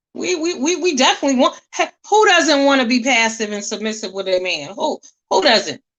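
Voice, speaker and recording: A woman speaks loudly in a high voice. Her pitch swings very widely. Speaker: livestream commentator. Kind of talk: casual commentary rant. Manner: strong, forceful.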